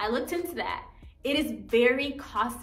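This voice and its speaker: Audible room echo surrounds a bright, sharp tone. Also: woman. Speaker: home renovation vlogger. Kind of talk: casual vlog chat. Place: home room. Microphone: camera far.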